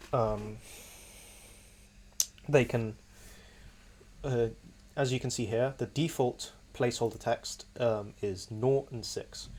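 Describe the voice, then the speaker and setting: A somewhat breathy man speaks at a very slow pace in a medium pitch. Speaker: computer science student. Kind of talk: software demo walkthrough.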